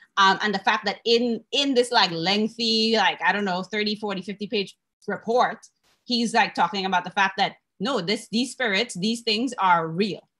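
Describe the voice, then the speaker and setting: Over a quiet background, a woman speaks in a bright, sharp tone with fairly even intonation. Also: moderate pace. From Trinidad and Tobago. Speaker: panel moderator and dancer; panel moderator. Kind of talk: panel discussion. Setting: video call. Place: home room. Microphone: webcam.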